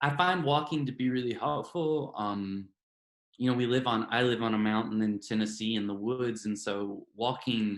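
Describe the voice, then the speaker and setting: Speaking with a Southern US accent, a man talks at a moderate pace and medium pitch with ordinary pitch variation. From US South. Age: 40s. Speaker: novelist. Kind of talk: interview. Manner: hesitant, many fillers.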